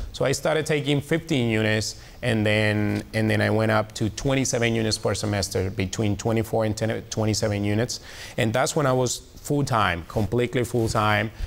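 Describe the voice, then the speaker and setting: A man with a strong Colombian accent, medium in pitch, with ordinary pitch variation, a moderate pace and very even loudness. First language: Spanish. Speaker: reporter. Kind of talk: testimony. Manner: halting, many fillers.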